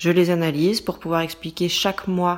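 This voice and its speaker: The recording is very clean, with a silent background. It's a normal speaking voice at a fairly slow pace. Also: woman. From France. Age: 20s. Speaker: management controller and mother. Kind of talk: scripted narration. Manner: clear, measured for learners.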